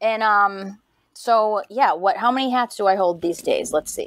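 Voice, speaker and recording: With lively intonation, a woman speaks in a Boston accent, the sound dry and close with no echo. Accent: thick Boston. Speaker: podcast host and doctoral student. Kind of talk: podcast interview.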